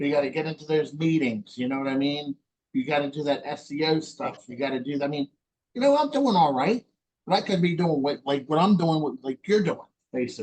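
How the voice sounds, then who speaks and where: In a dry, close recording with no echo, a man with a fairly high pitch talks at a fairly quick pace, his pitch varying in an ordinary way. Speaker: podcast host. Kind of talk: interview. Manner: fast; animated.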